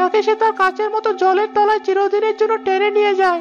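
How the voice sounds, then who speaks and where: A cartoonish character voice at an extremely high pitch speaks at a moderate pace in a flat monotone. Music plays clearly in the background. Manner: brash, familiar.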